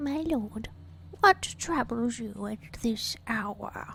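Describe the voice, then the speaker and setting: Over clear background noise, a female-sounding put-on character voice with fairly high pitch for a woman speaks at a very slow pace. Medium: actual play. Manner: polite, deferential.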